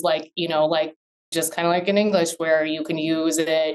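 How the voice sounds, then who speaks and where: Speaking at a fairly quick pace, a woman uses a fairly low pitch with an Upper Midwest accent. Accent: Upper Midwest American. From Minnesota, US. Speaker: business attorney. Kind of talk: interview conversation.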